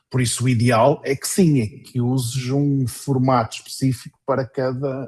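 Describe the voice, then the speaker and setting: A man with a somewhat breathy voice talks fairly slowly at a medium pitch. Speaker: workshop facilitator. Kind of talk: online workshop Q&A. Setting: video call.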